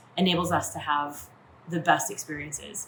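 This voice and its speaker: A woman speaks at a moderate pace with ordinary pitch variation. Noticeable background noise runs beneath her. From Maine, USA. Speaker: yacht chef and first mate. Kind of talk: casual talk to camera.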